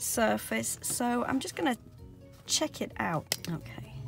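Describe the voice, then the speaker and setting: Over clear background music, a woman speaks at a very slow pace in a dry sound with no echo. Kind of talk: casual tutorial vlog chat. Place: car. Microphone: phone near.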